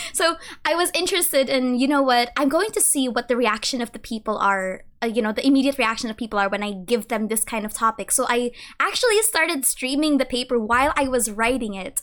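In a Filipino accent, a woman speaks at a high pitch with lively intonation. Her tone is amused, and her pace fairly quick. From Philippines. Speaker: lore content creator and university student. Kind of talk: casual interview chat. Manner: laughs often, amused.

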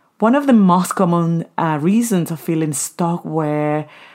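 A woman with a Spanish accent speaks at a moderate pace in a fairly low pitch, with ordinary pitch variation and an animated, warm tone. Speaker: podcast host. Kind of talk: solo podcast monologue with advice and personal stories. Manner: animated, warm, motivational.

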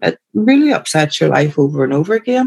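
Speaking in a Belfast accent, a woman with a very deep, low pitch moves at a moderate pace through very wide pitch swings. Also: dry, close sound with no echo. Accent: Belfast Northern Irish. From Northern Ireland. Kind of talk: casual chat.

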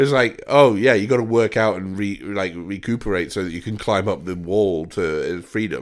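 On a very clean recording with a silent background, a man with a fairly low pitch and ordinary pitch variation speaks in an animated tone at a moderate pace, with hardly any pauses. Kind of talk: casual comedic chat with impressions. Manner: jokey, animated, does impressions.

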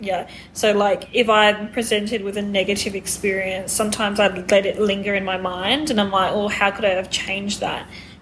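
Over noticeable background noise, a woman speaks at a medium pitch in a monotone, flat way. She goes at a fairly quick pace with hardly any pauses. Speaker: podcast co-host. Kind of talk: casual chat.

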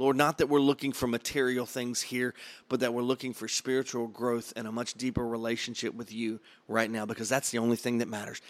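A plain, everyday voice speaks with fairly even intonation. The recording is very clean, with a silent background. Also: man. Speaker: pastor leading a prayer challenge. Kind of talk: fervent prayer, spoken aloud to God.

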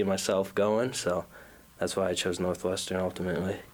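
A man in a Minnesota accent, monotone and flat in intonation, at a moderate pace, on a very clean recording with a silent background. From Minnesota, South Minneapolis. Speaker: college basketball player. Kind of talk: interview. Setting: studio.

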